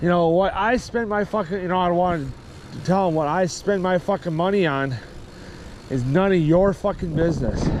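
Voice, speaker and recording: Loud and high-pitched, a man speaks at a moderate pace with ordinary pitch variation. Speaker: cycling vlogger. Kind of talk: casual vlog monologue. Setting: outdoors by a parking lot. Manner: rambling with fillers.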